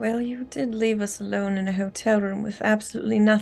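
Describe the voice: The text is read aloud plainly. Intonation stays fairly level.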